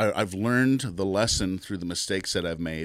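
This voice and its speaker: In a very clean recording with a silent background, a man with an American accent speaks at a fairly quick pace, his pitch very deep and low with ordinary variation. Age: 50s. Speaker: business owner. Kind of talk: interview. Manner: halting.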